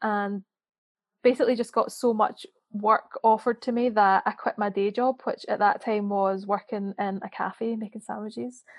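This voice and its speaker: A woman with a Scottish accent, fairly high-pitched, with fairly even intonation and a moderate pace. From Scotland. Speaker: freelance writer and author. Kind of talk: casual interview chat.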